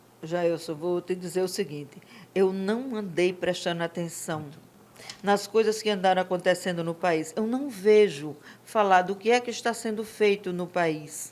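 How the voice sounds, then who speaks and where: A woman at a medium pitch and fairly slow pace, with ordinary pitch variation and noticeable background noise. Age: 60s. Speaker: real estate and construction administrator. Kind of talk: podcast interview.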